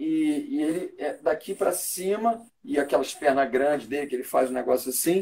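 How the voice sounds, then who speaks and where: A man speaks in a plain, everyday voice, fairly high in pitch. His pace is moderate and his intonation lively. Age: 60s. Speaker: stage actor. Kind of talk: interview.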